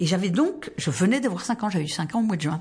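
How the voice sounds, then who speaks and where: Her pitch swings very widely around a medium level, and this woman sounds somewhat breathy. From southwestern France, rural Tarn. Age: 70s. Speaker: retired volunteer, soup kitchen coordinator. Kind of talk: personal life story interview.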